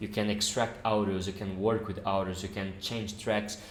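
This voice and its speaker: Someone with a non-native accent talks amid audible room echo. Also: man. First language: not English. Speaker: software developer YouTuber. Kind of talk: tutorial. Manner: halting.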